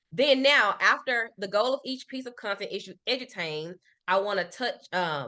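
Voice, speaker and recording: A woman speaks in a Memphis accent with a bright, sharp tone. Her pitch is medium and her intonation lively. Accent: Southern US (Memphis). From US South, Memphis. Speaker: marketing consultant. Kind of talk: business workshop presentation. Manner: fast.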